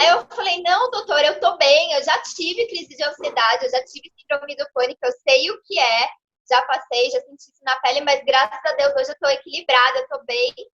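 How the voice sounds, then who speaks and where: Bright, sharp tone from a woman with a high pitch, an animated delivery, very wide pitch swings, big swings in loudness and hardly any pauses. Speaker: lawyer and consciousness mentor. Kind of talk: interview. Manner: fast.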